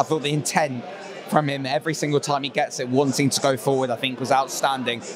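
With crowd noise in the background, a man speaks at a very fast pace with fairly even intonation, in a dry sound with no echo. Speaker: podcast panelist. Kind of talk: casual football discussion. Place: bar. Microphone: handheld.

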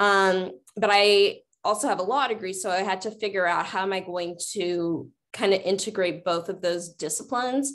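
Speaking at a moderate pace with an American accent, a woman uses an ordinary speaking voice with ordinary pitch variation. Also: medium pitch for a woman. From US Midwest. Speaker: diversity officer at a college. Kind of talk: panel discussion. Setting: video call. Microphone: video call.

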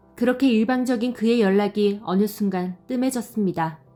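Music in the background behind a woman's fairly slow, medium-pitched speech with ordinary pitch variation. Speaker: storyteller. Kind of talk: story narration.

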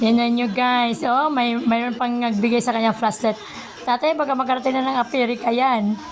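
Over noticeable background noise, a woman speaks at a high pitch and fairly quick pace, with fairly even intonation and very even loudness. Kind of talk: casual vlog narration to camera.

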